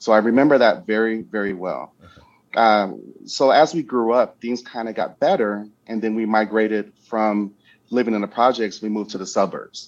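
A man with an American accent and medium pitch speaks at a moderate pace with fairly even intonation in an unremarkable speaking voice. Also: quiet background. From US Midwest, Chicago South Side. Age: 50s. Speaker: insurance consultant and financial educator. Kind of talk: interview.

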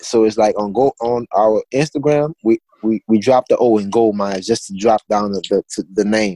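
A man with a Louisiana accent speaks at a moderate pace with hardly any pauses and fairly even intonation. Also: fairly low pitch for a man, dry, close sound with no echo. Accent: Southern US, Louisiana. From Louisiana, Assumption Parish. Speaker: clothing brand founder. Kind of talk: interview.

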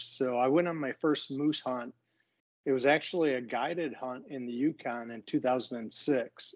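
In an American accent, a man talks at a moderate pace with medium pitch, fairly even intonation and an unremarkable speaking voice against a quiet background. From Michigan. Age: 60s. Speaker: retired executive and bowhunter. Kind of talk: casual interview.

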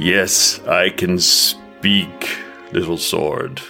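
A put-on character voice rumbles at a very deep, low pitch. Clear music plays in the background.

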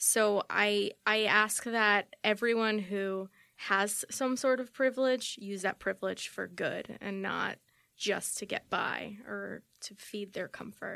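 A woman's medium-pitched voice, bright and sharp in tone, at a very slow pace, on a very clean recording with a silent background. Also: fairly even intonation. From Queens, New York, Colombian family. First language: Spanish. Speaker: podcast guest. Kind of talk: casual chat.

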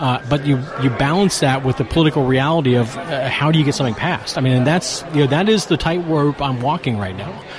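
A man with a fairly high pitch talks at a very fast pace with hardly any pauses and ordinary pitch variation over noticeable background noise. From Appalachia. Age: 40s. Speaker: marijuana reform activist. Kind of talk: interview.

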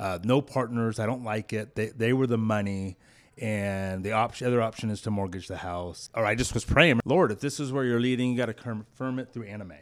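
At a fairly quick pace, a man with a normal speaking voice talks at a medium pitch with ordinary pitch variation, in a very clean recording with a silent background. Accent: American. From US West Coast, Clovis, California. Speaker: business owner and executive. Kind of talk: interview.

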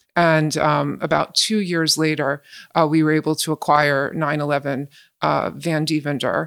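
A woman speaks with a very deep, low pitch and vocal fry at a moderate pace. Her intonation is fairly even, and the recording is very clean with a silent background. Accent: American. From New Jersey, West Windsor. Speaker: university community affairs director. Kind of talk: casual interview. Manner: hesitant, many fillers.

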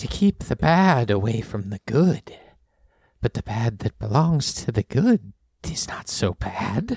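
A man in a put-on character voice with lively intonation, dry and close with no echo. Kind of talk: eerie riddling speech. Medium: actual play. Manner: cryptic, halting, repeating himself.

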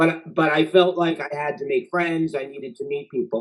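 Moderate pace with ordinary pitch variation, in a New York accent. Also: man. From Queens, New York. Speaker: TV writer and showrunner. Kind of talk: casual interview chat.

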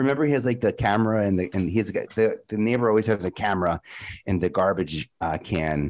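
A man's normal speaking voice at medium pitch, with lively intonation and a fairly quick pace, on a very clean recording against a silent background. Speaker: TV producer. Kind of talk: casual chat.

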